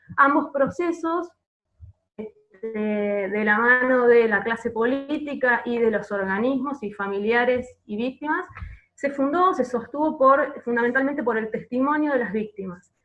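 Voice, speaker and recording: A woman with an Argentine accent speaks at a fairly slow pace in a high voice with ordinary pitch variation. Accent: Argentine Spanish (Rioplatense). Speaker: archivist. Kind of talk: panel presentation. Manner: hesitant, many filler words.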